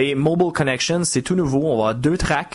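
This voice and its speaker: With a strong Quebec accent, a man speaks at a fairly high pitch. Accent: Quebec French, still strong. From Quebec, Montreal. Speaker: software architect and trainer. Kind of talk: podcast interview.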